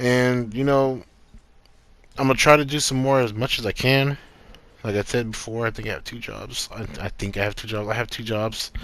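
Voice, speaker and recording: A man with a medium-pitched voice speaks with fairly even intonation. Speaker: YouTuber discussing TV news. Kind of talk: casual vlog monologue. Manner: fast.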